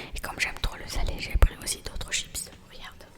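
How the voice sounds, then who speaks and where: A woman whispers at a fairly quick pace in a playful tone. Noticeable background noise is present. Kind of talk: ASMR roleplay, soft intimate talk to the listener. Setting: home-recorded ASMR with snacks and props. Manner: soft, friendly, playful.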